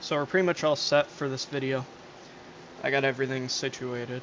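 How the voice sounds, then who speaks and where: Against noticeable background noise, a man speaks in a relaxed tone at a medium pitch with fairly even intonation. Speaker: gaming streamer. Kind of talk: casual gameplay commentary. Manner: hesitant, many fillers.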